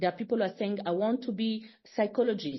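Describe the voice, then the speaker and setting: This woman's voice is somewhat breathy. She talks at a fairly high pitch. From Congo. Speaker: foundation founder. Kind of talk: podcast interview. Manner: halting.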